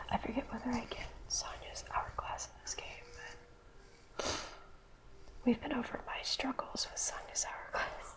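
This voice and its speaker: A woman whispers at a moderate pace, with long, frequent pauses. Background noise is noticeable. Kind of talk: ASMR video game commentary. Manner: soft-spoken, whispered.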